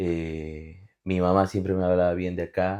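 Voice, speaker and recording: A man's very deep, low voice moves fairly slowly in a monotone, flat intonation. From Bolivia, Cochabamba. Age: 30s. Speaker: immigrant guest. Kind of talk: interview.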